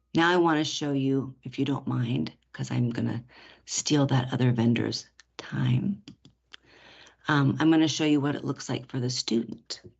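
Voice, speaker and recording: Vocal fry and a very deep, low pitch from a woman, at a moderate pace with ordinary pitch variation. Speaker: education software vendor presenter. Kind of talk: product demo presentation.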